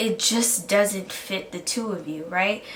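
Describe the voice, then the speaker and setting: The voice moves at a very slow pace with ordinary pitch variation, amid noticeable background noise and audible room echo. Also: woman. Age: 20s. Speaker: college student podcaster. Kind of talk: motivational talk.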